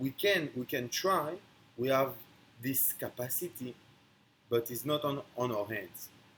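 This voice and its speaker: A man speaks with a strong non-native accent and lively intonation. He goes at a fairly slow pace. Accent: strong foreign. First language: not English. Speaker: online speaker on philosophy. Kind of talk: philosophical monologue. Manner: halting.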